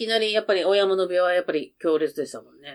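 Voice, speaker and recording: A woman talking at a very fast pace. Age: 50s. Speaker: podcast guest, mother of co-host. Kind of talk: casual chat.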